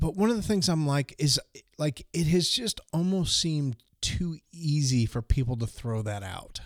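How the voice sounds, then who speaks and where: A man's unremarkable speaking voice, fairly high in pitch, at a moderate pace with lively intonation. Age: 50s. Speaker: podcast co-host. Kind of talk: casual chat about faith. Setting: remote recording over the internet.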